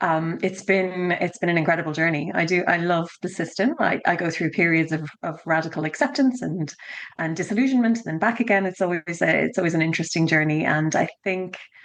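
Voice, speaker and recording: A woman with an Irish accent speaks at a fairly quick clip in a fairly low voice, with ordinary pitch variation and hardly any pauses. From Ireland (Dublin). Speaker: education consultant. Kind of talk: podcast interview.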